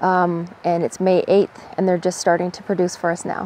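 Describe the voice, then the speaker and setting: A woman talking at a fairly quick pace in a dry sound with no echo. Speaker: forager vlogger. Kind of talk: tutorial. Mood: relaxed, friendly. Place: forest. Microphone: phone near.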